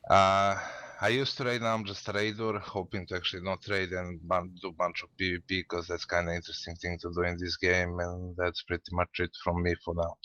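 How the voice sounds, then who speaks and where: With a Russian accent, a man with very deep, low pitch and a bright, sharp tone speaks at a fairly quick pace with hardly any pauses, monotone, flat intonation and a dry, close sound with no echo. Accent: Russian-sounding. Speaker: gamer. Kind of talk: casual group chat on live stream.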